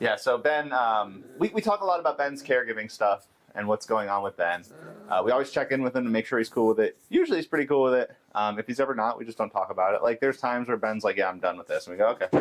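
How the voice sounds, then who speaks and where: Lively intonation and a very fast pace mark this man's speech at a medium pitch. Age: 30s. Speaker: caregiver livestream host. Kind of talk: casual livestream chat. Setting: livestream.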